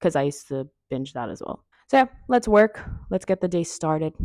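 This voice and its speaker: Against a quiet background, with dry sound and no echo, a woman speaks in an unremarkable speaking voice at a fairly low pitch. Her intonation is lively and her pace fairly quick. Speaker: vlogger. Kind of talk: casual vlog chat. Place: home room.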